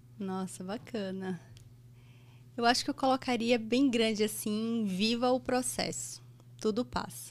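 Her fairly high voice is somewhat breathy, as a woman talks at a fairly slow pace with ordinary pitch variation and long, frequent pauses. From Brazil, Bahia (Salvador). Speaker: anesthesiologist and medical educator. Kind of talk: interview conversation. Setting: studio.

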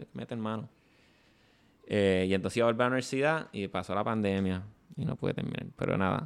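A man at a very fast pace, with long, frequent pauses. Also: fairly low pitch for a man, ordinary pitch variation. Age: 30s. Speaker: comedian. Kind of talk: casual chat.

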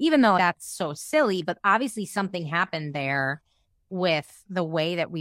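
In a very clean recording with a silent background and a dry, close sound with no echo, a woman with a fairly low pitch speaks at a moderate pace in an unremarkable speaking voice. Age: 30s. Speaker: podcast host. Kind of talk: casual chat.

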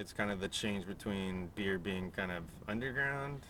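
In an ordinary speaking voice, a man with an American accent speaks at a moderate pace, his pitch fairly low with ordinary pitch variation. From San Diego, California. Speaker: podcast producer and co-host. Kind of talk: casual chat.

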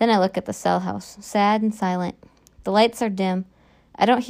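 The recording captures plain reading aloud.

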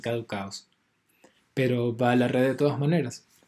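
This man speaks at a medium pitch. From Venezuela. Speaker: podcast host and audiovisual artist. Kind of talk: scripted narration; casual chat.

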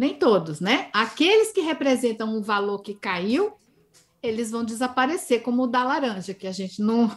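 A woman's fairly high-pitched voice, a normal speaking voice, with lively intonation. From Northeast Brazil, Campina Grande, Paraíba. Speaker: linguistics professor. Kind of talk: interview.

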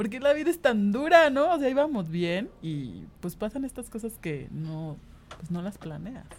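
A woman talks at a fairly slow pace, her loudness swinging widely and her pitch ranging very widely. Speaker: designer and singer. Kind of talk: casual interview.

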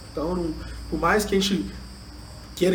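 Amid noticeable background noise and audible room echo, a man speaks. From Brazil, Juiz de Fora (Minas Gerais). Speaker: education entrepreneur, leadership trainer. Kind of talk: interview.

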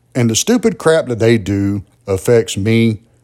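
At a fairly slow pace, a man speaks in a dark, mellow tone. His pitch varies in an ordinary way. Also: very clean recording, silent background. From US South, southwest Georgia (Albany). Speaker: podcast host. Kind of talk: solo political commentary monologue. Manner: conversational, with frequent fillers and repetitions.

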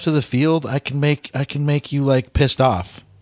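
Heard with a dry, close sound with no echo and a quiet background, a man with a fairly high voice talks at a moderate pace. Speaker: podcast co-host. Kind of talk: casual chat. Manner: loud.

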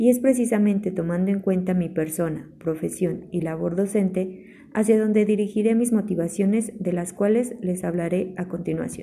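A woman of medium pitch speaks at a moderate pace with hardly any pauses, her tone dark and mellow, somewhat breathy, with fairly even intonation. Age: 20s. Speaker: environmental engineer and chemistry tutor. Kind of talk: scripted presentation. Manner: formal.

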